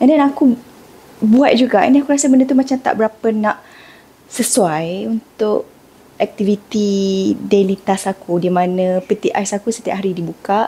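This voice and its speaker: Soft-spoken and somewhat breathy, a woman talks at a moderate pace with a fairly high pitch, a dark, mellow tone and lively intonation. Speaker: lifestyle vlogger. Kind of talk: casual vlog narration. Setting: home kitchen at night. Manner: soft-spoken, quiet.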